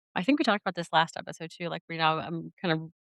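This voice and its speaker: A woman with an ordinary speaking voice, fairly low in pitch, in a dry, close recording with no echo. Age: 40s. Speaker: podcast host. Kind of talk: casual chat. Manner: rambling with many fillers.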